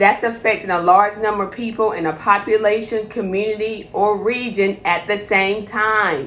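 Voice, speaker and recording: Speaking at a moderate pace, a woman sounds animated and fairly high in pitch. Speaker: healthcare provider. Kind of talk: live stream health talk.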